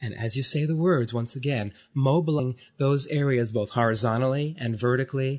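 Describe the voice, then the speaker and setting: At a fairly quick pace with hardly any pauses, a man speaks in a somewhat breathy voice of medium pitch and ordinary pitch variation. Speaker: body therapist. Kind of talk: guided affirmation session.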